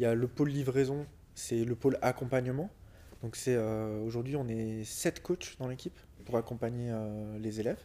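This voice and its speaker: Speaking at a moderate pace, a man has a dark, mellow tone, a medium pitch and fairly even intonation. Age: 30s. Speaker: business coach and entrepreneur. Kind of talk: casual interview.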